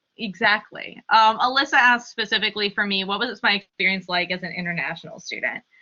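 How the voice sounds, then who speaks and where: A woman with an American accent talks at a very fast pace with hardly any pauses, her medium pitch showing ordinary variation. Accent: passes as Canadian. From US Midwest, Columbus, Ohio. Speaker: graduate student. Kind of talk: panel Q&A talk.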